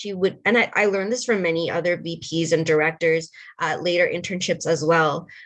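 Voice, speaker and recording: A woman talks at a fairly quick pace in a normal speaking voice, fairly low in pitch. Her intonation stays fairly even against a quiet background. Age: young. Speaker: panelist on women in tech. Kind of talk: panel discussion.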